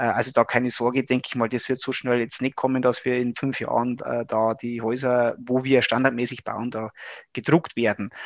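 A man talks at a moderate pace with medium pitch and monotone, flat intonation. The sound is dry and close, with no echo. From Upper Palatinate, Bavaria (Regensburg area). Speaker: engineering professor. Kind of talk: interview. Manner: halting, many fillers.

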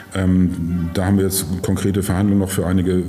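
A man's very deep, low voice at a very fast pace, with noticeable background noise and audible room echo. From northern Germany, Schleswig. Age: 50s. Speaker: mayor. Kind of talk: casual interview. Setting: office.

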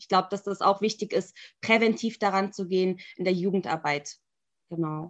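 Against a quiet background, a woman with a plain, everyday voice speaks at a moderate pace, her intonation fairly even but her loudness swinging widely. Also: medium pitch for a woman. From Germany. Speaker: Islamic and religious studies scholar. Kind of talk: panel discussion. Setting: video call.

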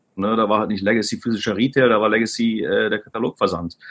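Very fast speech from a man, intonation fairly even. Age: 40s. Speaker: e-commerce executive. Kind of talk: interview. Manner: hesitant, many fillers.

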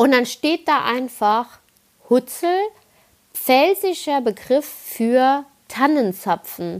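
A woman's high voice at a very slow pace, with lively intonation, very even loudness and long, frequent pauses. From Palatinate, Kaiserslautern. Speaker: podcaster. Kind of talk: casual monologue.

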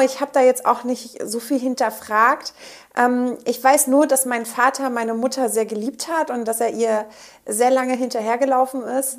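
A woman with a high pitch talks at a moderate pace with fairly even intonation, in a very clean recording over a silent background. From northern Germany. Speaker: pharmaceutical field representative. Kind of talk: interview. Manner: hesitant, many filler sounds.

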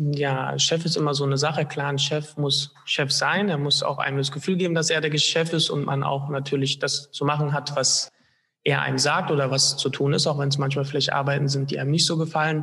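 Speaking at a fairly quick pace, a man with a fairly high voice keeps a monotone, flat intonation and very even loudness. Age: 20s. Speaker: hotel trainee. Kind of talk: interview.

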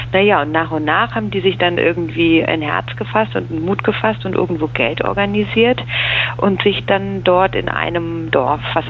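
The speaker keeps a moderate pace while clear background noise carries on. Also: woman. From Bavaria, Munich. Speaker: cultural producer. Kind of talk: interview. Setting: phone call. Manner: hesitant, many fillers.

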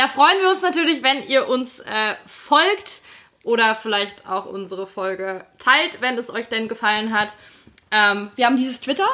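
A high-pitched woman at a moderate pace, with long, frequent pauses. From Hesse, Fulda. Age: 20s. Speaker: podcast co-host, editor. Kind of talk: casual chat. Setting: on a sofa in a Berlin flat.

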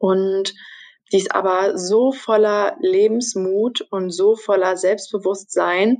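A woman speaks very slowly at a medium pitch. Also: ordinary pitch variation. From Brandenburg, Germany. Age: 20s. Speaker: trainee journalist. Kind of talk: interview.

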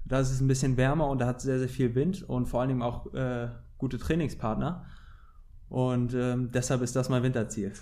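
A man talks with a dark, mellow tone, very even loudness and fairly even intonation, leaving long, frequent pauses. Room echo is audible. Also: medium pitch for a man, fairly quick pace. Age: 20s. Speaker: professional windsurfer. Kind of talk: interview.

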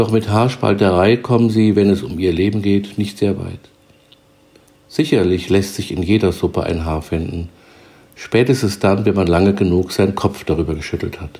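A man with a plain, everyday voice speaks at a moderate pace in a fairly low pitch, with ordinary pitch variation. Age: 60s. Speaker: self-help podcaster. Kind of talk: scripted narration. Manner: formal.

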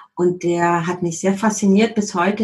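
Her voice somewhat breathy, a woman speaks at a medium pitch with fairly even intonation. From Germany. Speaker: HR consultant. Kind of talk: interview.

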